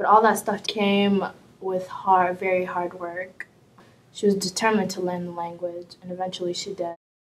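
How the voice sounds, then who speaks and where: The speaker keeps a moderate pace in a flat monotone. The loudness swings widely. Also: woman, medium pitch for a woman. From Somalia. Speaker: community member sharing literacy story. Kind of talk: documentary interview testimony.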